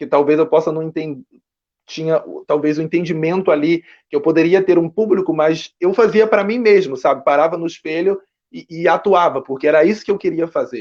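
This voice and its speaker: Pitch variation is ordinary, and the delivery comes at a fairly quick pace. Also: man. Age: young. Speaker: actor and writer. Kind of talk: interview.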